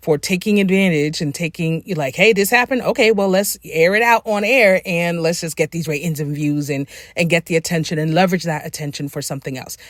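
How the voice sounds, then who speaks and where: Recorded very cleanly against a silent background, with a dry, close sound and no echo, a woman with a fairly low pitch talks fairly quickly in an animated tone. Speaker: writer and book coach, commentary YouTuber. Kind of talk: casual commentary vlog. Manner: animated, conversational; relaxed, informal, not her corporate voice.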